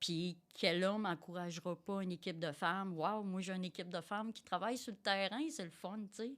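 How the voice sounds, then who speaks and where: A woman talking at a fairly quick pace with hardly any pauses and ordinary pitch variation, on a very clean recording with a silent background. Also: medium pitch for a woman. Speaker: tradeswoman and quality director. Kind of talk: interview conversation. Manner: energetic; hesitant, many fillers.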